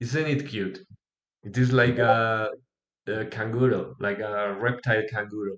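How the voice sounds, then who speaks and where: A man with a non-native accent and medium pitch speaks at a fairly slow pace with ordinary pitch variation and long, frequent pauses. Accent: non-native, self-described weak pronunciation. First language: not English. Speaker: pixel artist streamer. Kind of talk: live streaming tutorial. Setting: live stream on Discord. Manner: halting.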